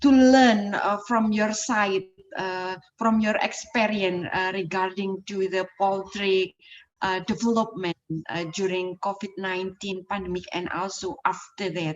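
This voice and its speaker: This woman speaks fairly slowly with an Indonesian accent. Her pitch sits in the medium range and her intonation stays fairly even. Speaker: poultry science association representative. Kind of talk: formal thanks. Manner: halting.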